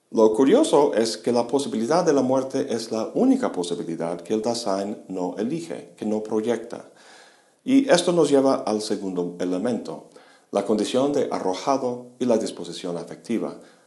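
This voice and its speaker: A man speaks at medium pitch and a moderate pace with lively intonation. His tone is dark and mellow, and the room echo is audible. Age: 50s. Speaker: philosophy lecturer. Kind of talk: lecture.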